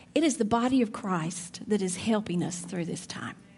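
A woman is speaking. She has an Alabama accent. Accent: Southern (Alabama). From Alabama, near Birmingham. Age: 50s. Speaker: church speaker. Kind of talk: sermon.

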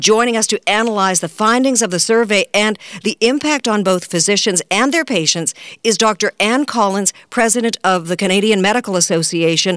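Speaking with a plain, everyday voice at a medium pitch, a woman keeps a moderate pace and very even loudness in a dry, close sound with no echo. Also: ordinary pitch variation. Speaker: radio news magazine host. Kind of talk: radio news magazine patter, introducing segments. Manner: polished, brisk, formal.

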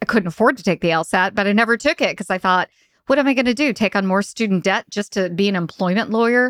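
In an American accent, a woman speaks at a medium pitch with ordinary pitch variation, the sound dry and close with no echo. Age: 40s. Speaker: HR consultant and author. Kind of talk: interview. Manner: animated.

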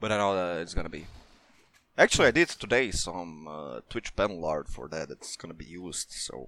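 Very deep and low in pitch, a man speaks at a moderate pace with lively intonation and vocal fry. His tone is bright and sharp, and his loudness swings widely. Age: 20s. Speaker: community manager. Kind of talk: casual interview.

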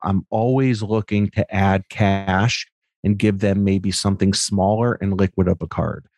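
Against a quiet background, a man with a plain, everyday voice speaks at a moderate pace with a fairly low pitch and ordinary pitch variation, in dry, close sound with no echo. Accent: American. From US Northeast, Connecticut. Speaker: sports card collector and content creator. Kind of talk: casual chat.

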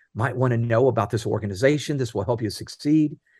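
A man of medium pitch, somewhat breathy, dark and mellow in tone, against a quiet background. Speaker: author and leadership speaker. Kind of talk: interview.

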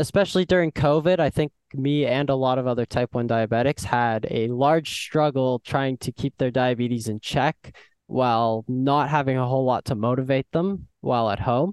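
In an unremarkable speaking voice, a man speaks at a moderate pace with medium pitch and ordinary pitch variation. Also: dry, close sound with no echo. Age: young. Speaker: guest with type 1 diabetes. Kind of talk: interview.

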